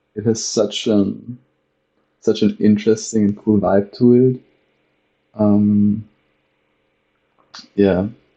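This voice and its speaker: Speaking with a non-native accent, a man talks at a very slow pace in a dark, mellow tone and monotone, flat intonation, leaving long, frequent pauses. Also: fairly low pitch for a man. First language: not English. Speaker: gaming youtuber. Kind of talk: let's play commentary. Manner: halting.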